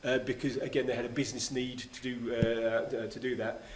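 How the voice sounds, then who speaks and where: A man with a British accent talks at a fairly quick pace and medium pitch, with audible room echo and noticeable background noise. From Great Britain. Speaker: keynote speaker on smart city technology. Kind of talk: conference talk and Q&A. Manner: fast; halting, many fillers and restarts.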